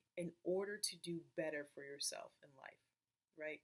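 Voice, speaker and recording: The woman's intonation is lively. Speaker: life coach. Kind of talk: casual advice monologue to camera. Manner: deliberately slow.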